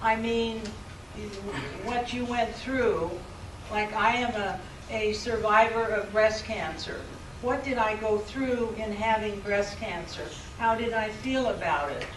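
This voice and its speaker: The speech comes at a very slow pace with long, frequent pauses, amid audible room echo and noticeable background noise. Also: woman, fairly high pitch for a woman, fairly even intonation. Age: 70s. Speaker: professor. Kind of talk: lecture. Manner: halting.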